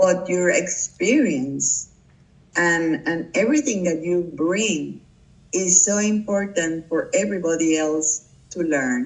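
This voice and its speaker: A very slow voice in a Puerto Rican accent, set against noticeable background noise. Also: woman, fairly low pitch for a woman, lively intonation. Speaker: public relations professional. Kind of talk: interview. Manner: halting.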